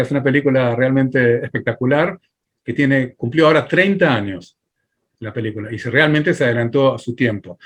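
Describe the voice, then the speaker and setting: Here is a man with an ordinary speaking voice and fairly high pitch. He moves at a moderate speed, his pitch varying in an ordinary way. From Argentina. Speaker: filmmaker and film teacher. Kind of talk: interview.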